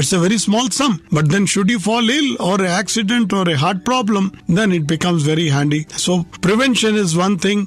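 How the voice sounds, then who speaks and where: A man's high-pitched voice comes through in a dry sound with no echo. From India, Maharashtra. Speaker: cardiologist. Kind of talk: radio interview. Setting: radio studio. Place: studio.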